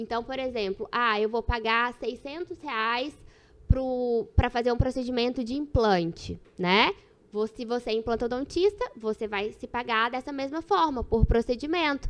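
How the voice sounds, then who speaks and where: Speaking fairly slowly in a Minas Gerais accent, a woman with a high voice shows ordinary pitch variation and big swings in loudness. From Minas Gerais, Brazil. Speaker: dentist and dental practice management expert. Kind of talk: podcast interview.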